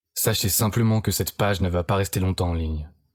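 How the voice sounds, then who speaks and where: A man has a plain, everyday voice. He speaks at a fairly quick pace with fairly even intonation. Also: very clean recording, silent background. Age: 20s. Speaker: online marketer. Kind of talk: sales pitch. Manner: scripted, persuasive.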